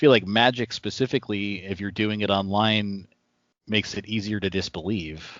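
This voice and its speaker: A man uses a normal speaking voice at a moderate pace. His intonation is fairly even. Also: fairly low pitch for a man. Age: 30s. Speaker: podcast host. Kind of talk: casual interview. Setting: video call.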